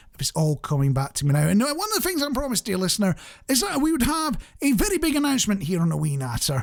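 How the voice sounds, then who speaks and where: This man talks at a very fast pace in a high voice, his pitch swinging very widely. Noticeable background noise runs behind him. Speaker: radio show host. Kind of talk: radio presenter chat. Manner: chatty, humorous, self-deprecating.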